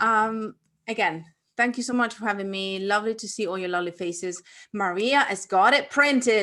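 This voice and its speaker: At a fairly quick pace, a woman talks at a medium pitch with a bright, sharp tone and ordinary pitch variation. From Italy. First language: Italian. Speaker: author and entrepreneur. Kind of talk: online workshop interview.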